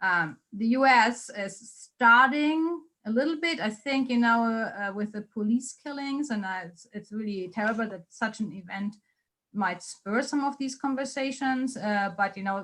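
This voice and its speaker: Bright and sharp in tone, the voice carries a German accent at a moderate pace, with ordinary pitch variation and big swings in loudness. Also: woman, fairly high pitch for a woman. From Germany. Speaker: policy researcher. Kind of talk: Q&A after a lecture.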